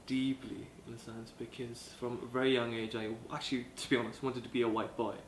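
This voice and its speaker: A man at medium pitch speaks at a moderate pace with fairly even intonation. Noticeable background noise and audible room echo surround him. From South Africa, Cape Town. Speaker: college student. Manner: halting.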